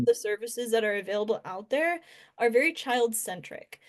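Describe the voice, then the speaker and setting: A woman with an ordinary speaking voice, fairly high in pitch with ordinary pitch variation, over a quiet background. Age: 20s. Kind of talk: interview answer.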